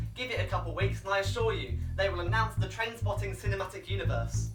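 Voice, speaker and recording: Over music in the background, a man talks at a fairly quick pace in a deadpan tone. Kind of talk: sarcastic movie news commentary to camera. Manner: fast, sarcastic, deadpan.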